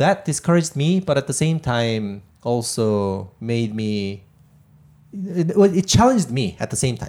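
A man's fairly high voice at a fairly slow pace, with very wide pitch swings. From South Korea. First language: Korean. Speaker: tech company founder and CEO. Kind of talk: interview. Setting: live recording in a parlor with audience. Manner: halting, many filler words.

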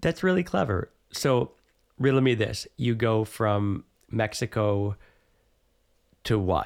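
Speaking at a very slow pace with long, frequent pauses, the voice keeps a very even loudness and ordinary pitch variation. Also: man, medium pitch for a man. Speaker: teacher and podcast host. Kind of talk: casual interview.

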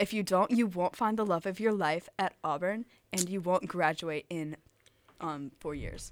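With an American accent, a woman talks in a normal speaking voice at a medium pitch and fairly slow pace, with ordinary pitch variation and a dry, close sound with no echo. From Alabama, US South (Tuscaloosa). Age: young. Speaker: college student radio DJ. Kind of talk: casual chat.

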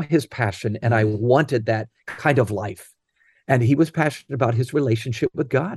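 A somewhat breathy man's voice, dark and mellow in tone, with ordinary pitch variation and a dry, close sound with no echo. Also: quiet background. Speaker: author and leadership speaker. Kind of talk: interview.

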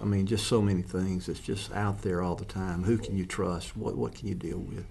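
A dark, mellow tone with fairly even intonation comes through amid audible room echo. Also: man. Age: 70s. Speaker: ministry founder. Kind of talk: casual chat.

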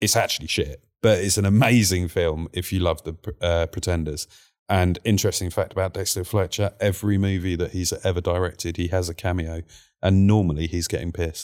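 Very deep and low, a man's voice moves at a fairly quick pace with fairly even intonation on a very clean recording with a silent background. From East End of London (Whitechapel). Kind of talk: casual chat.

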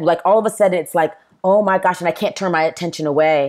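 A woman talks at a fairly quick pace with an American accent and an unremarkable speaking voice. Her pitch sits fairly low. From US South, Tennessee and South Carolina. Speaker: pastor. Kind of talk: casual chat.

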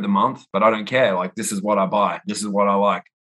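A man with an Australian accent, a bright, sharp tone, fairly even intonation and a fairly quick pace. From Perth, Western Australia. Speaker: sports card collector. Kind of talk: casual interview chat.

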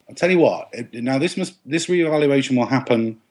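A man with an English accent talks at a fairly high pitch. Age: 40s. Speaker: TV and novel writer. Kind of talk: casual chat.

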